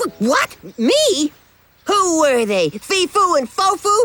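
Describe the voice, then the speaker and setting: A cartoonish character voice at an extremely high pitch with very wide pitch swings and a fairly slow pace, over faint music in the background. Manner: excitable.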